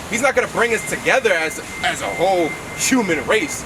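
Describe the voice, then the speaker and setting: Loud, high-pitched male speech with lively intonation against noticeable background noise. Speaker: street preacher. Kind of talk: street preaching.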